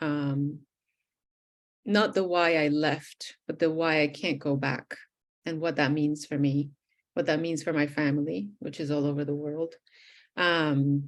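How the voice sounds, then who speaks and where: In a Spanish accent, a woman with a very deep, low pitch speaks at a fairly slow pace with fairly even intonation over a quiet background. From Venezuela (Caracas). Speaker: poet. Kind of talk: interview.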